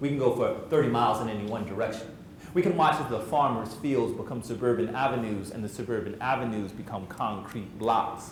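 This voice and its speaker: There's noticeable background noise and audible room echo as a man talks at a fairly quick pace, medium in pitch with ordinary pitch variation. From central New Jersey. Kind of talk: spoken word poetry performance; motivational talk to youth. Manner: fast; rhythmic, emphatic delivery.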